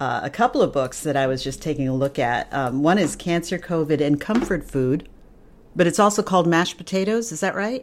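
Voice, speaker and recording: In a plain, everyday voice, a woman talks at a fairly quick pace with a fairly low pitch and lively intonation. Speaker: podcast host and voiceover artist. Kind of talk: casual interview chat.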